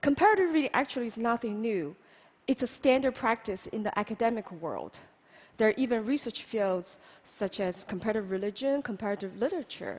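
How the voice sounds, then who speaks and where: Fairly quick and lively, a woman speaks at a fairly high pitch with a Chinese accent. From China, Hunan. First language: Mandarin Chinese. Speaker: public speaker. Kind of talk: conference talk.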